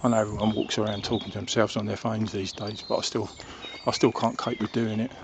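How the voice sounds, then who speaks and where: Soft-spoken and monotone, a man with a southern English accent talks at a very fast pace in a fairly low pitch over noticeable background noise. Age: old. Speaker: vlogger. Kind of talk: casual monologue. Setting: outdoors. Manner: halting.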